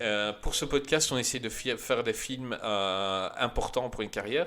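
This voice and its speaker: Lively intonation runs through a man's bright, sharp voice. He speaks at a fairly slow pace. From Belgium. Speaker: film podcast host. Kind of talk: casual chat. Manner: animated.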